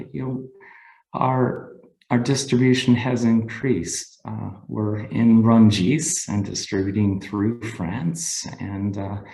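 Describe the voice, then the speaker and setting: A very slow, dark, mellow voice with an American accent, ordinary pitch variation, and audible room echo. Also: man. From United States. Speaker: cheesemaker. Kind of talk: webinar presentation. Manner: halting, many fillers.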